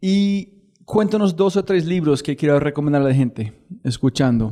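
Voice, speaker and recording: This man speaks with an English accent at a moderate pace. His voice is fairly high in pitch, with a dark, mellow tone. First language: English (speaking Spanish). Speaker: podcast host. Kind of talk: podcast interview.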